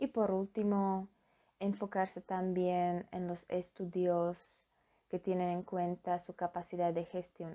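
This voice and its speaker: Fairly low-pitched woman's voice with a Slovak accent and monotone, flat intonation. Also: very clean recording, silent background. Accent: foreign accent, Slovak. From Slovakia. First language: Slovak (speaking Spanish). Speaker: psychology student. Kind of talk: conference presentation. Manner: formal; halting.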